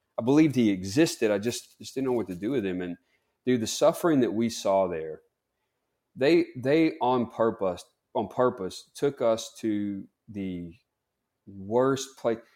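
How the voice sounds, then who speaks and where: A man's dark, mellow voice at medium pitch, fairly slow with long, frequent pauses and lively intonation, on a very clean recording with a silent background. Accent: Southern. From US South, Mississippi. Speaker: clinical psychologist. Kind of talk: interview.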